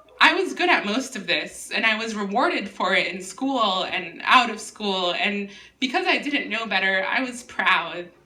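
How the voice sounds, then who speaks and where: With noticeable background noise and audible room echo, a woman talks at a moderate pace in a fairly high pitch with lively intonation. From US, Miami (immigrated at age five). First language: Spanish. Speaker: writer. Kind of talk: casual chat; reading aloud.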